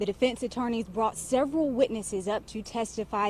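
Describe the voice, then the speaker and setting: A woman with a fairly high pitch and ordinary pitch variation talks at a fairly quick pace while noticeable background noise plays behind her. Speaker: TV news reporter. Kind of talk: broadcast news report.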